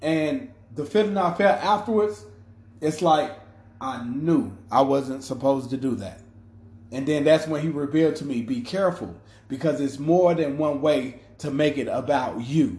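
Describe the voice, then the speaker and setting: Amid audible room echo, a man speaks in a somewhat breathy, fairly high voice with lively intonation. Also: moderate pace. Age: 30s. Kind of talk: faith-based motivational monologue. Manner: casual with frequent repetitions and fillers.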